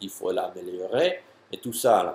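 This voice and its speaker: A man speaks in an English accent at a fairly slow pace. His pitch swings very widely. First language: English (speaking French). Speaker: jumping and athletic trainer. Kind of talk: tutorial answering a viewer question. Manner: halting, many hesitations and repeats.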